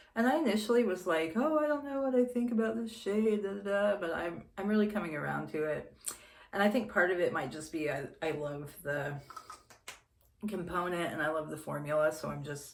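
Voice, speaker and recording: A woman's fairly low voice at a fairly quick pace, with very wide pitch swings, audible room echo and noticeable background noise. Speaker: beauty vlogger. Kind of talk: casual chat. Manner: meandering; whispering.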